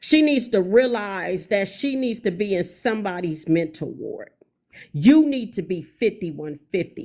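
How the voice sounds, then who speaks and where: A woman with a dark, mellow tone and a medium pitch talks at a fairly slow pace, her pitch swinging very widely. The recording is very clean, with a silent background. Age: 50s. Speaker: livestreamer. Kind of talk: angry livestream rant. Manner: emphatic, repetitive.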